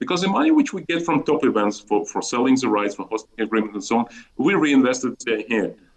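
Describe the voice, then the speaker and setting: A man with a Russian accent, medium pitch, lively intonation and a very fast pace. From Azerbaijan, Baku (Soviet Union). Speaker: chess federation executive. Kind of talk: interview. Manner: animated, repetitive false starts.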